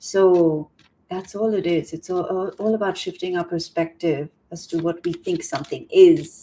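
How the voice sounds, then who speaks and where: A woman's fairly low-pitched voice with a dark, mellow tone. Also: fairly even intonation, moderate pace. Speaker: tarot reader and coach. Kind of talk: tarot reading monologue. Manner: halting.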